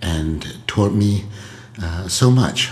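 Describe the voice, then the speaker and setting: A man speaks with audible echo from the room. Noticeable background noise runs underneath. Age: 70s. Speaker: singer-songwriter. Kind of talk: podcast storytelling monologue. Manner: hesitant, many filler words. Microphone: laptop recording.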